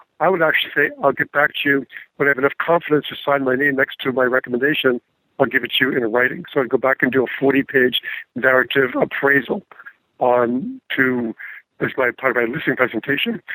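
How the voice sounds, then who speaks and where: A man talks at a fairly quick pace with fairly even intonation and a bright, sharp tone. The sound is dry and close with no echo, and his loudness stays very even. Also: medium pitch for a man. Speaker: real estate agent. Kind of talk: interview.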